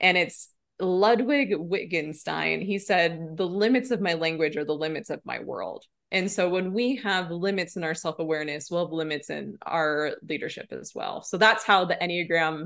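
A woman with an ordinary speaking voice and an American accent, fairly low in pitch, with ordinary pitch variation, at a moderate pace against a quiet background. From Nebraska. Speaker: motivational speaker and leadership coach. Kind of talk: casual interview.

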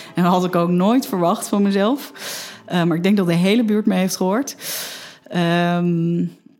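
Over noticeable background noise, a woman talks at a moderate pace in a medium pitch, with ordinary pitch variation and very even loudness. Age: 30s. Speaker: mother telling her birth story. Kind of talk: personal testimony interview. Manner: halting, many fillers.

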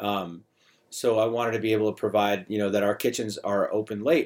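In a very clean recording with a silent background, a man speaks at a medium pitch and a fairly quick pace. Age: 50s. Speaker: bartender and bar owner. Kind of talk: podcast interview. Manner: repetitive, halting phrasing.

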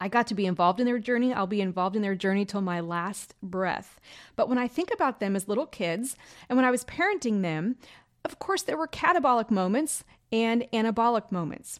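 This woman talks at a fairly quick pace with a fairly high pitch, recorded very cleanly against a silent background. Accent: American. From US Midwest, rural Illinois. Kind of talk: faith-based self-help monologue. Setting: home recording. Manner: warm, chatty.

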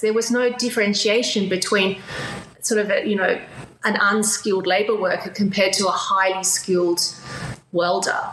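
With an Australian accent, the speaker talks at a moderate pace with fairly even intonation, amid noticeable background noise and audible room echo. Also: woman. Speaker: business advisor and entrepreneur. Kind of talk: interview. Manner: halting.

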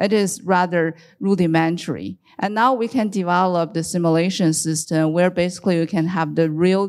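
A woman talks at a moderate pace in an ordinary speaking voice. Her pitch is fairly low and varies in an ordinary way. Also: very clean recording, silent background. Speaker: university professor. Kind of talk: panel discussion.

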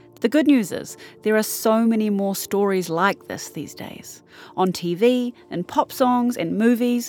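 With music in the background, a speaker in a New Zealand accent talks at a fairly slow pace. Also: woman. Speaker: podcast host. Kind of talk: scripted narration.

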